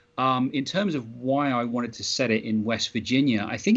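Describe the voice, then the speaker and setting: A man with a British accent talks at a moderate pace, his pitch medium with ordinary variation. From Britain. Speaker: comic book writer. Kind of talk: interview. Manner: halting, many fillers and restarts.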